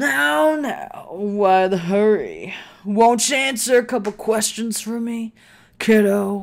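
A man's put-on character voice, high-pitched and drawling, at a very slow pace with lively intonation. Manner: sweet on the surface but menacing.

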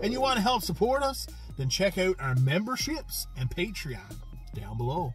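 At a moderate pace, the voice sounds dry with no echo, and faint music plays in the background. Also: man. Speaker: food review host. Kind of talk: casual vlog chat. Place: car. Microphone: phone near.

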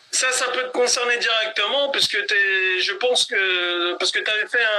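A man projects a raised, high-pitched voice. He keeps a moderate pace and an ordinary amount of pitch variation. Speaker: live talk show host. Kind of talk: live interview chat. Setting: live stream on Instagram. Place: home room. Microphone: phone near.

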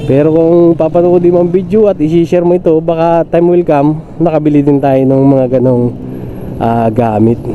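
Ordinary pitch variation and very even loudness, with noticeable background noise. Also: man, fairly high pitch for a man, moderate pace. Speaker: motovlogger, tricycle driver. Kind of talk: casual vlog narration while riding. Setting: on a motorcycle, outdoors. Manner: chatty, filler-heavy. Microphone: phone with clip-on mic under helmet.

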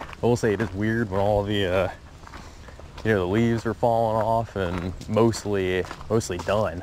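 Noticeable background noise sits under a dry sound with no echo as a man of fairly low pitch speaks with fairly even intonation. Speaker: angler vlogger. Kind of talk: casual vlog chat. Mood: relaxed, easygoing. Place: waterside. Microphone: phone near.

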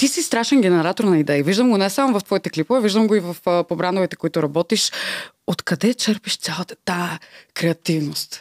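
Lively intonation comes through in a dry sound with no echo against a quiet background. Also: woman, fairly quick pace. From Bulgaria, Varna; Bulgaria. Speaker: podcast host. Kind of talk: casual interview chat. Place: studio. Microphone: studio mic.

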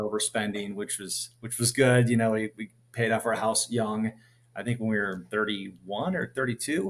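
With a Minnesota accent, a man speaks in fairly even intonation. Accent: Upper Midwest (Minnesota) American. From US Midwest. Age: 40s. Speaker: dividend investor. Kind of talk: casual interview. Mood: friendly, relaxed storytelling.

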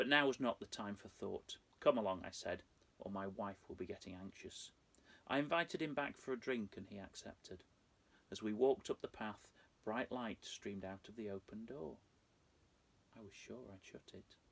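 A man speaks at a moderate pace with ordinary pitch variation, big swings in loudness and long, frequent pauses. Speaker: storyteller. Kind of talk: dramatic story reading. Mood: dark, hushed, suspenseful. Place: home room.

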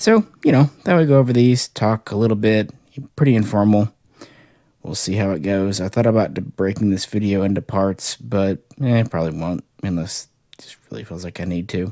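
A man's fairly low, dark, mellow voice at a fairly quick pace, with ordinary pitch variation, big swings in loudness, and dry sound with no echo against a quiet background. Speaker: toy collector reviewer. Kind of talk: casual review chat. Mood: relaxed, nostalgic. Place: home room. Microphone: phone near.

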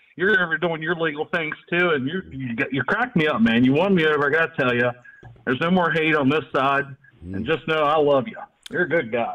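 A man at a fairly high pitch and fairly quick pace, with noticeable background noise. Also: lively intonation. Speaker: caller. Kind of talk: casual chat.

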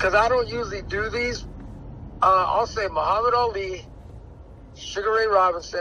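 A man with a high pitch projects a raised voice at a moderate pace, with fairly even intonation and long, frequent pauses, in a dry sound with no echo and light background noise. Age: 40s. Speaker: boxing trainer. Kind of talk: interview. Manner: halting. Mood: relaxed, animated. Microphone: phone near.

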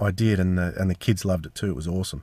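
Recorded with a dry, close sound and no echo, a man speaks in an Australian accent. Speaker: podcast host. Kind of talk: casual chat. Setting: in a car. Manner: animated.

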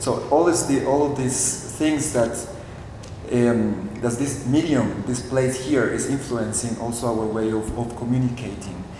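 The pace is fairly slow, with ordinary pitch variation. Light background noise and room echo are audible. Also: man. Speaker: artist; presenter. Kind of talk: artist talk at a panel. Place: hall. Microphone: podium.

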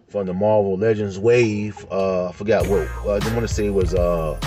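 Faint music plays behind a man with a fairly low pitch. He speaks at a fairly quick pace. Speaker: collectibles vlogger. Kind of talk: casual vlog chat. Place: car. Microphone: phone near.

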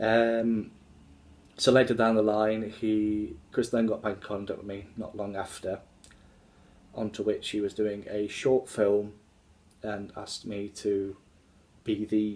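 Monotone, flat intonation at a fairly slow pace, broken by long, frequent pauses. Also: man. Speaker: actor talking about his film work. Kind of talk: casual vlog chat. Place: home room. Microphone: phone near.

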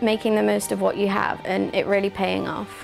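A woman speaks at a fairly quick pace over faint music in the background. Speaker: presenter. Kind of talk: presenter commentary. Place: office. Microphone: lapel.

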